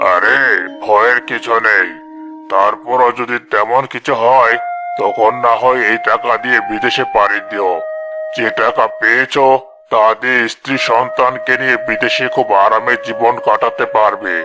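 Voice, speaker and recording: Using a cartoonish character voice at a medium pitch, a man speaks at a fairly slow pace over clear background noise. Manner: persuasive, domineering.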